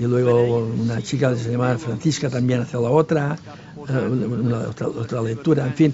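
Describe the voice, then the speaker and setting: A man with fairly even intonation over noticeable background noise. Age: 70s. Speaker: village elder. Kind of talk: documentary interview. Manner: halting.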